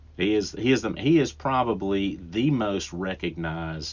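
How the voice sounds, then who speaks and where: Speaking at a fairly slow pace, the man has a strong Southern US accent. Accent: thick Southern US. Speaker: podcast host and woodworker. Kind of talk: solo podcast talk. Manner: casual, with frequent restarts and fillers.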